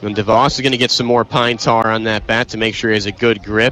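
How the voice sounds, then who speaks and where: A man rushes along at a very fast pace, and background noise is noticeable. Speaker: aspiring sports broadcaster, radio play-by-play announcer. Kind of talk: live baseball radio play-by-play. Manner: fast, energetic, excited.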